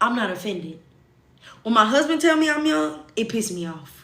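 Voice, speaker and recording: Audible room echo surrounds this woman. Her pitch swings very widely. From US South. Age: 20s. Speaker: social media livestreamer. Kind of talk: casual livestream chat.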